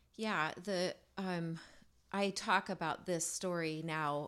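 In an American accent, a woman speaks very slowly at a fairly low pitch with fairly even intonation. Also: very clean recording, silent background. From USA. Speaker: singer-songwriter. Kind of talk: casual chat.

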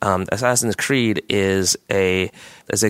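A man speaks with a Canadian accent at a fairly low pitch, his intonation fairly even. The sound is dry and close, with no echo. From Canada. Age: 30s. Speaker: video game company founder. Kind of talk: interview. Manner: halting, repeats words.

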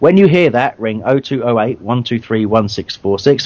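At a moderate pace, the voice has a slightly mellow tone and lively intonation. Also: man.

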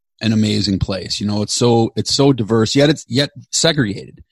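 Captured with a dry, close sound and no echo, a man with an ordinary speaking voice talks at a fairly quick pace and a medium pitch with ordinary pitch variation. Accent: American. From Chicago, US Midwest. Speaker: podcast co-host and producer. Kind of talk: casual interview chat.

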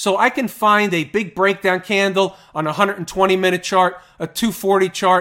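The speaker uses a raised, projected voice and an animated tone, moving at a moderate pace with hardly any pauses. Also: man, high pitch for a man. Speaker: stock market analyst podcast host. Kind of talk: solo market analysis commentary. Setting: recorded screen-share video with chart.

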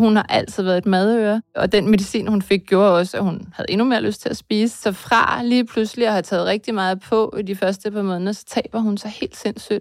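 With an unremarkable speaking voice, a woman of medium pitch speaks at a fairly quick pace with fairly even intonation. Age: 50s. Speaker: mother of a psychiatric patient. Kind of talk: testimony.

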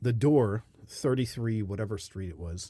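With an American accent, a man speaks at a moderate pace in a medium-pitched, somewhat breathy voice with a dark, mellow tone, on a very clean recording with a silent background. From United States. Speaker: podcast host, expat. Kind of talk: casual chat. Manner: animated.

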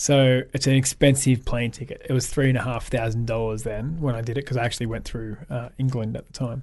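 A man with an Australian accent at a fairly quick pace, monotone and flat in intonation, against a quiet background. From Australia, south coast of New South Wales. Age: 30s. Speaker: photographer and author. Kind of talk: casual chat.

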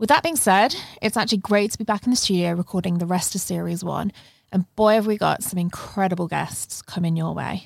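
A woman speaks with a British accent at medium pitch and a fairly quick pace. Her pitch varies in an ordinary way, and the sound is dry and close with no echo. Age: 20s. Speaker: podcast host. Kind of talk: casual interview conversation; scripted podcast intro. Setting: studio.

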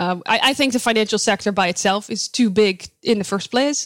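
At a moderate pace, a woman talks with a Dutch accent and ordinary pitch variation. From Netherlands. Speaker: sustainability researcher. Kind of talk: interview.

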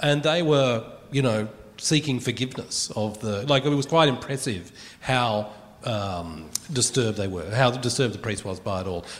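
In a room with audible echo, a man with an Australian accent speaks at a moderate pace and medium pitch with lively intonation. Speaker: radio broadcaster and musician. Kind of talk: live comedy panel. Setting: stage with audience.

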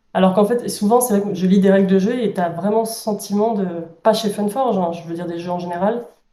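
A woman talks very fast at a medium pitch with fairly even intonation. There is audible room echo. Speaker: board game publisher employee. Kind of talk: interview.

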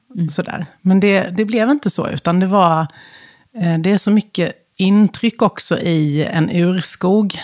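A woman speaks fairly slowly at a medium pitch with ordinary pitch variation. The sound is dry and close, with no echo. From Sweden, west coast (Halland). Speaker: business executive, former HR director. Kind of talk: interview conversation. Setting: studio.

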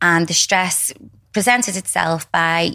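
Against a silent background in a very clean recording, a woman with a British accent speaks in a bright, sharp tone. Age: 40s. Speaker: skin clinic owner. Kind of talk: interview.

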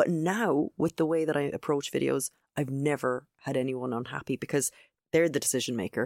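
A woman with an Irish accent and a very deep, low pitch speaks at a fairly quick pace with ordinary pitch variation and very even loudness, in a dry, close sound with no echo on a very clean recording with a silent background. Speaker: video trainer. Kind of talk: casual interview chat.

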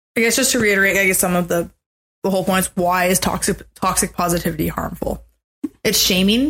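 A woman talks at a very fast pace with a medium pitch, ordinary pitch variation and very even loudness. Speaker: podcast co-host. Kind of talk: casual chat.

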